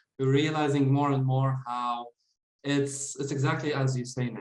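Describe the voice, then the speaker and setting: Somewhat breathy and medium in pitch, a man talks at a moderate pace with fairly even intonation. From Jordan, Middle East. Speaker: former lawyer, website rental business owner. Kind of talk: interview.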